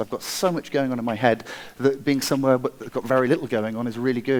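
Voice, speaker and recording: A man speaks very fast. He holds a medium pitch. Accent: English. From England, Wiltshire. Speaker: product designer and inventor. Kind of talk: conference talk.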